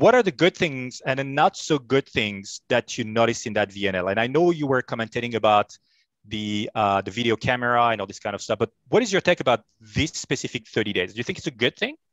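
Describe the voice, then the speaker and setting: In a French accent, a man with a medium pitch speaks at a fairly quick pace with lively intonation, on a very clean recording with a silent background and a dry, close sound with no echo. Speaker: sports show host. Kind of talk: interview.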